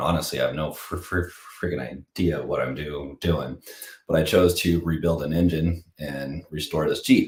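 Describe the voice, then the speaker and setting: Vocal fry runs through this man's voice. He speaks at a moderate pace. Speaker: husband of the host, fitness enthusiast. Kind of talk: casual chat. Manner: halting, many repetitions and fillers.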